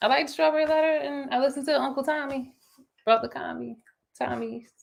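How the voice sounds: Her intonation fairly even, a woman speaks at a moderate pace with vocal fry.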